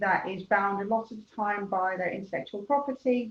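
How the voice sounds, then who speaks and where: Her voice is medium in pitch and somewhat breathy. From Netherlands. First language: Dutch. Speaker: business coach. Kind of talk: webinar presentation. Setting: webinar.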